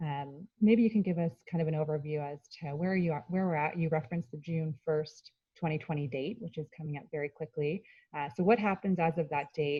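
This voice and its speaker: Soft-spoken delivery at a fairly quick pace with ordinary pitch variation. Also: woman. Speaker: panel moderator. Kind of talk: panel discussion.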